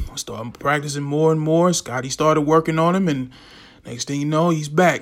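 A man's fairly high, plain, everyday voice with fairly even intonation and a fairly quick pace. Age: 30s. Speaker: podcast host. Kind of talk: solo commentary monologue. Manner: casual.

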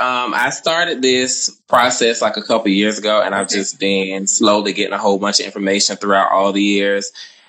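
Fairly low male voice, with noticeable noise in the background. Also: ordinary pitch variation, moderate pace. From US South. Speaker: caller on live stream. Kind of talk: casual chat. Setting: Instagram live video call.

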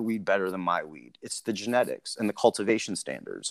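With an American accent and lively intonation, a man in an unremarkable speaking voice talks at a fairly quick pace, in a very clean recording with a silent background and a dry, close sound with no echo. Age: 40s. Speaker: cannabis company executive. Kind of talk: casual interview.

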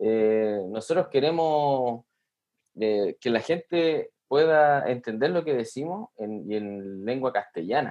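Speaking at a very slow pace, a man with medium pitch uses lively intonation. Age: 30s. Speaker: metal guitarist, sound engineer. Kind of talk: casual interview. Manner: halting, repeats words.

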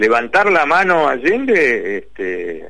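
A man talks at a very slow pace. Audible room echo is present. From Paraná, Entre Ríos, Argentina. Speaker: investigative journalist. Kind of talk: radio interview.

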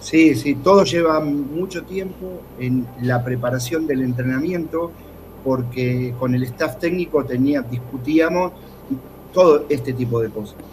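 A man of medium pitch speaks at a fairly slow pace with ordinary pitch variation amid noticeable background noise. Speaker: basketball coach. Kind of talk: sports analysis talk show.

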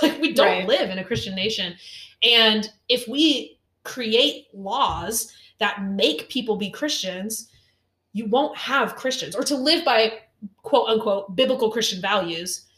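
Intonation lively, a woman speaks. Her pace is fairly slow. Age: 20s. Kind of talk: casual chat. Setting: kitchen table.

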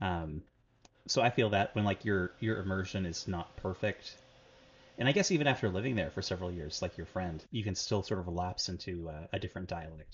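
At a fairly quick pace, a man talks in a very deep, low pitch with ordinary pitch variation. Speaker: language learning podcast co-host. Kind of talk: casual chat.

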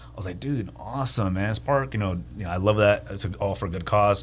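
Talking at a very fast pace, a man with an American accent uses a fairly low pitch, vocal fry and lively intonation. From Santa Paula, California. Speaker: motorcycle shop owner. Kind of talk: radio interview. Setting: studio.

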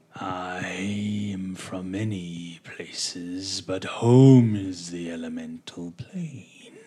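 A put-on character voice speaks at a low pitch and a very slow pace. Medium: actual play.

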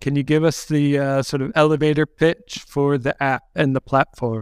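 On a very clean recording with a silent background, a man with a fairly high pitch talks at a moderate pace in a normal speaking voice, in a dry, close sound with no echo. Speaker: podcast host. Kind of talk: interview conversation.

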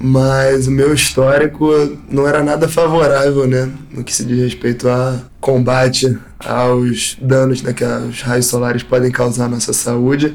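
This man's intonation is monotone and flat. He speaks fairly slowly at a medium pitch. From Rio de Janeiro, Brazil. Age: 20s. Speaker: professional skimboard athlete. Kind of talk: interview testimony.

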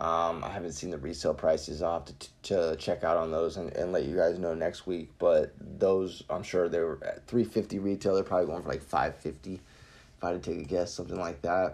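A man with an American accent and very deep, low pitch, speaking at a moderate pace with fairly even intonation over music in the background. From Florida. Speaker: sneaker and streetwear podcast host. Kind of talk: solo podcast monologue. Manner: casual, many fillers.

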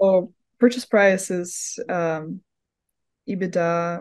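A woman speaks with a Russian accent. Her pace is very slow. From Russia, Moscow. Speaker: university student, finance job candidate. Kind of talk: mock job interview. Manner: halting, many fillers.

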